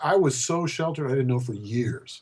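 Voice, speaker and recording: In an American accent, a man with a medium pitch speaks at a fairly quick pace in a somewhat breathy voice. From Colorado, US. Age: 60s. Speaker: poet. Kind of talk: interview. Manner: halting.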